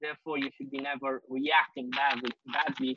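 With little pitch movement, a man speaks at a moderate pace and a medium pitch, his bright, sharp tone carrying a slightly husky edge.

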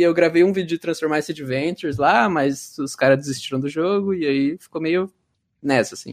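A man with a plain, everyday voice talks at a moderate pace. His pitch is fairly high. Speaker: former game moderator and YouTuber. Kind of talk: casual chat. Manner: casual slangy.

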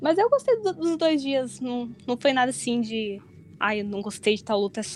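A woman talks at a moderate pace in a high-pitched voice. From southern Brazil, Porto Alegre. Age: 20s. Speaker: wrestling fan who attended the event. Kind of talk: casual chat.

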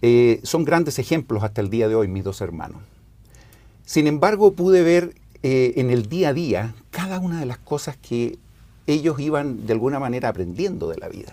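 This man's voice has a dark, mellow tone and fairly high pitch. He swings his pitch very widely at a moderate pace. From Chile, Santiago. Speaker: former church seminary director. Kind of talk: scripture class discussion.

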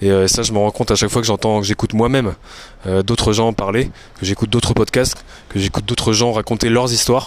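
A man speaks at a very fast pace in a fairly low voice, monotone and flat, with very even loudness. Noticeable background noise runs underneath. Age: 30s. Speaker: fitness coach and podcaster. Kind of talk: solo monologue recorded on phone. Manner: hesitant, many fillers and repetitions.

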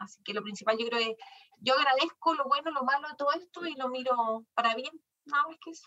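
A woman's raised, projected voice at a high pitch, bright and sharp in tone, at a fairly quick pace with ordinary pitch variation and big swings in loudness. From Chile, Chillán. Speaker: business owner, lawyer. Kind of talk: interview.

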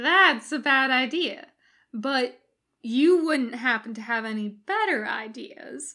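Putting on a character voice, a woman speaks in a high, bright, sharp tone. She goes at a slow pace with lively intonation.

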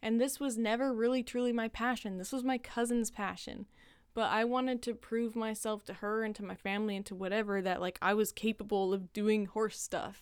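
Against a silent background in a very clean recording, a woman talks at a fairly quick pace and fairly high pitch. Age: 20s. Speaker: podcast host. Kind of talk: solo monologue podcast. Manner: animated.

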